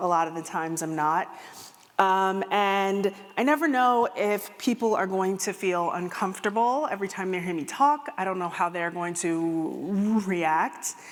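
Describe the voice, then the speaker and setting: A woman talks fairly slowly, her medium pitch showing ordinary variation. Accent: Midwestern American. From US Midwest. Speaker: keynote speaker and empathy consultant. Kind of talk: keynote talk. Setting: stage with audience.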